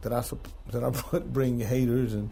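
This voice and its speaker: A man with an American accent speaks at a medium pitch. Audible room echo surrounds his voice. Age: 60s. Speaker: music artist and producer. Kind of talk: interview.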